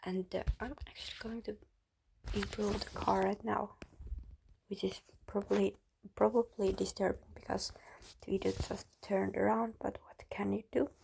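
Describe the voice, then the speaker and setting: Speaking at a moderate pace with a Finnish accent, this voice breaks often into long pauses. Its loudness rises and falls sharply. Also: woman. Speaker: YouTuber. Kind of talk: casual chat. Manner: halting.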